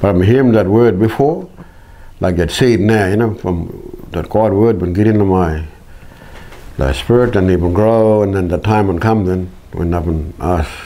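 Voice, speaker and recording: Noticeable background noise sits behind a man's fairly low voice. He talks at a moderate pace with ordinary pitch variation. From Kimberley region, Western Australia. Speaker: Bible translator, musician and storyteller. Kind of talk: personal testimony.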